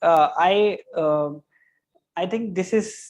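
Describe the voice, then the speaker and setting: A man with an Indian accent. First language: Hindi. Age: 20s. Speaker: graphic designer. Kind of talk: interview. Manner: halting.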